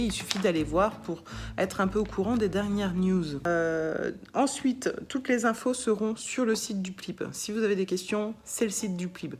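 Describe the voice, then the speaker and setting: A woman's voice at a moderate pace with ordinary pitch variation, music in the background. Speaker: literary prize organizer. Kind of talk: informational video address to jurors. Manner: hesitant, many fillers.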